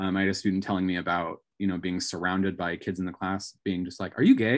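Against a quiet background, a man speaks at a very fast pace. His pitch sits fairly low. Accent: American. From Northern California. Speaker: high school language teacher. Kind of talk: casual chat.

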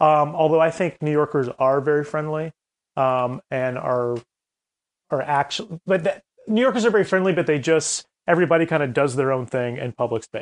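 With an American accent and an ordinary speaking voice, a man talks at a fairly quick pace with fairly high pitch and ordinary pitch variation, recorded with a dry, close sound with no echo against a quiet background. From US South, Columbia, South Carolina. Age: 30s. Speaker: comedy group founder and director. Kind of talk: interview conversation.

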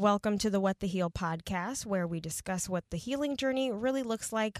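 A woman talks at a moderate pace in a plain, everyday voice, medium in pitch with ordinary pitch variation and hardly any pauses. The sound is dry and close with no echo, a very clean recording with a silent background. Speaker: traffic and weather reporter and pet sitter. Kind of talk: casual chat.

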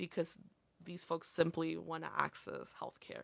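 Someone speaks at a moderate pace with a Spanish accent in a very clean recording with a silent background. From northern Illinois, Montgomery/Aurora area. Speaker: community college student and health clinic worker. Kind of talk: casual interview.

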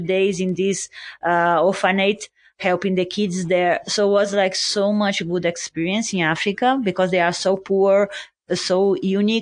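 Against a quiet background, a woman with a Brazilian accent speaks at a moderate pace and medium pitch, her intonation monotone and flat and her loudness very even. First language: Portuguese. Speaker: ultra and mountain runner. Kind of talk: interview. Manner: halting, many fillers.

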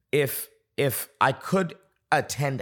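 A man speaks in an animated tone with an American accent, his somewhat breathy voice showing ordinary pitch variation on a very clean recording with a silent background. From Boston, US. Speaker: pastor. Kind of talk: podcast interview.

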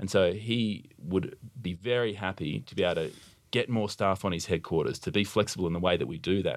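On a very clean recording with a silent background, a man with an Australian accent talks at a fairly quick pace in a very deep, low pitch with ordinary pitch variation. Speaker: army officer. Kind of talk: interview. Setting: studio.

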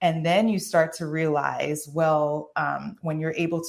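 This woman has a New York accent and a very deep, low pitch. She speaks at a fairly slow pace. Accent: New York American. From New York (Haitian American, born in Haiti). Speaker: occupational therapist and transformation coach. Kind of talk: interview.

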